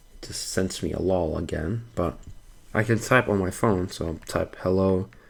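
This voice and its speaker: Speaking at a moderate pace, a man uses a very deep, low pitch with fairly even intonation. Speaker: tech YouTuber. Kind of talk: casual screen-recording tech walkthrough. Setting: home, background noise. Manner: hesitant, stuttering.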